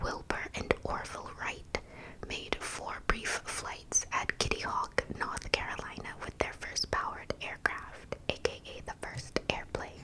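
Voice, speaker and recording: Noticeable background noise accompanies someone whispering at a fairly slow pace. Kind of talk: ASMR fact reading. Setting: home studio microphone. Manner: whispered.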